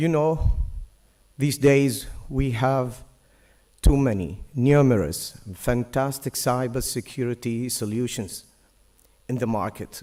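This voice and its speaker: Very slow and full of long, frequent pauses, a man's medium-pitched voice carries a dark, mellow tone and ordinary pitch variation. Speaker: conference speaker. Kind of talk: conference presentation.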